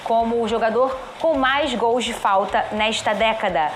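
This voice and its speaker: With ordinary pitch variation, the voice comes through audible room echo and noticeable background noise. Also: woman. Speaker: TV sports presenter, football pundit. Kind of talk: TV sports panel discussion.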